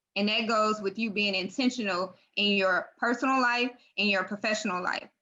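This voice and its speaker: At a moderate pace, a woman speaks with fairly high pitch and fairly even intonation. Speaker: guest speaker on women's empowerment. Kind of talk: radio interview. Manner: loud; emphatic.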